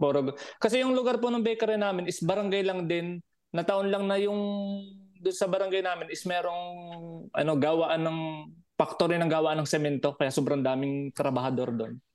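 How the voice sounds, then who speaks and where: The man's high voice, fairly quick in pace, moves with lively intonation. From Batangas, Philippines. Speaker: overseas Filipino worker, podcast listener. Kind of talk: casual chat.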